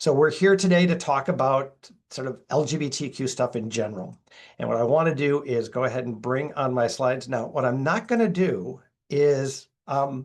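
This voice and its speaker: Against a quiet background, a man with a Minnesota accent talks at a moderate pace. His pitch is medium, with ordinary pitch variation. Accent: Minnesota accent, occasional long vowels. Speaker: LGBTQ+ educator and speaker. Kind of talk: webinar presentation. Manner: casual, conversational.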